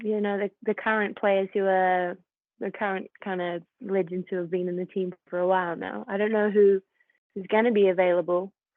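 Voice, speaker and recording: A woman speaks with a New Zealand accent at a medium pitch. Her delivery is moderate in pace with monotone, flat intonation. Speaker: professional footballer. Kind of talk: casual interview.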